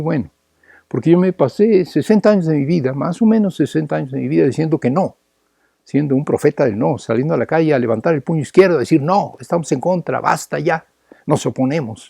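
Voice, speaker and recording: A man's fairly high voice with a dark, mellow tone, lively intonation and a very fast pace, dry and close with no echo over a quiet background. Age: 70s. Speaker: political activist. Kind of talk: political lecture. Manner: repetitive, halting.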